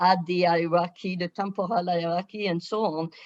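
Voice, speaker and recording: A woman's medium-pitched voice with a French accent. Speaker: professor, webinar co-chair. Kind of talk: panel discussion moderation.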